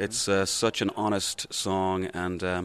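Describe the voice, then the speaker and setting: A man with a fairly low pitch and an Irish accent. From Ireland. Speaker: singer and stage performer. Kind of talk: TV interview. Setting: TV studio at performing arts center. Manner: hesitant, many fillers.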